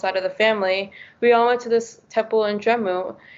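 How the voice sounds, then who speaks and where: With an American accent, a woman speaks fairly quickly in a flat, monotone intonation. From US (New England). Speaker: youth panel moderator. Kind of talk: panel discussion.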